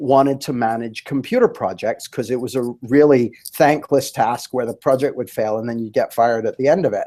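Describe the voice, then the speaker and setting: With a Canadian accent, a man talks at a fairly quick pace in a dark, mellow tone. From Canada. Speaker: life coach. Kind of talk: interview. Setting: live webinar.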